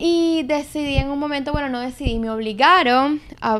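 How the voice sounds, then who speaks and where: The speaker is a woman. Her pitch rises and falls in an ordinary way. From Venezuela, Caracas. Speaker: marketing entrepreneur and content creator. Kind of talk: casual chat. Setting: apartment.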